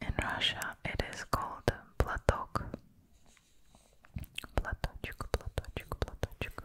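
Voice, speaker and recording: Whispering with a gentle tone at a very slow pace, over noticeable background noise. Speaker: presenter. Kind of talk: tutorial. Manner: gentle whisper, repeated foreign word.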